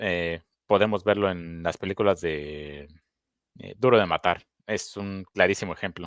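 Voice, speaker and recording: A man with a Mexican accent speaks at a fairly slow pace in a very deep, low pitch with fairly even intonation and big swings in loudness, on a very clean, dry, close recording with a silent background and no echo. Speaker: podcast co-host. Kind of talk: casual chat. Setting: live stream.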